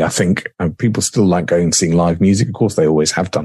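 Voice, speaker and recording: A man with a southern English accent speaks very fast. His voice is very deep and low, with ordinary pitch variation. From southern England, Surrey. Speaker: radio presenter. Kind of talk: casual interview chat.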